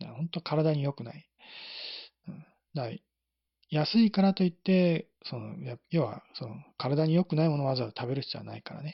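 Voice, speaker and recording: The pace is fairly quick. Long, frequent pauses break up the speech. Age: 40s. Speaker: tarot reader and YouTube live streamer. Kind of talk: solo live stream monologue. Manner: casual with frequent laughs and fillers.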